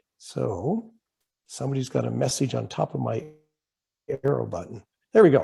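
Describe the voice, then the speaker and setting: Talking at a moderate pace, a man speaks with a Canadian accent. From Canada. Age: 60s. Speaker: club speaker on climate action. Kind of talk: presentation. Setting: video call. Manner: casual, conversational.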